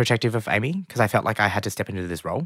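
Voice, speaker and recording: A man's bright, sharp tone in a dry, close sound with no echo, on a very clean recording with a silent background. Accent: Australian. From Australia, Melbourne (Springvale). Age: 20s. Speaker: cook and TV presenter. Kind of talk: interview.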